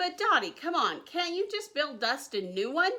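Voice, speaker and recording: A woman's put-on character voice, extremely high, at a moderate pace. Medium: read story. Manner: hopeful, enthusiastic.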